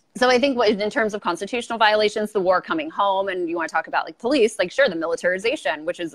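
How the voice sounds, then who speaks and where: A woman speaks in a Southern Californian accent at a medium pitch. Her intonation is lively. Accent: Valley Girl. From Los Angeles, California. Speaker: YouTuber and political commentator. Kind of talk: casual interview. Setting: video call.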